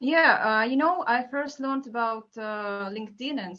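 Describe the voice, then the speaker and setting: Pitched fairly high, a woman talks at a moderate pace with ordinary pitch variation. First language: not English. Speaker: marketing manager.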